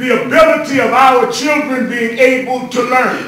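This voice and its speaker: A man with an American accent talks in a raised, projected voice at a very slow pace. His intonation stays fairly even, and there is noticeable background noise. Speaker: civil rights leader and minister giving a speech. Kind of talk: rousing public speech to lawmakers.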